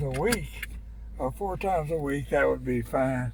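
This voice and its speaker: Fairly slow speech from a man in a Southern US accent. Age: 80s+. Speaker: retired father giving advice. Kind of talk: casual chat. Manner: halting, hesitant.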